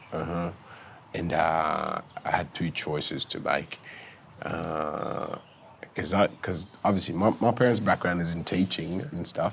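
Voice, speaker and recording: Against noticeable background noise, a man with a very deep, low voice speaks at a fairly slow pace. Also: ordinary pitch variation. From Sudan-born, raised in Victoria, Australia. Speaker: former footballer. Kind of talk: casual interview. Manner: halting.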